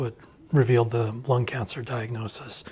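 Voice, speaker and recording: Somewhat breathy, a man's voice sits at medium pitch with fairly even intonation. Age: 60s. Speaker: cancer survivor. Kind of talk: testimony.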